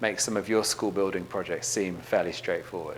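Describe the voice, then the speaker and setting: Audible room echo surrounds a man speaking with an English accent. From England. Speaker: education leader, keynote speaker. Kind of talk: conference keynote.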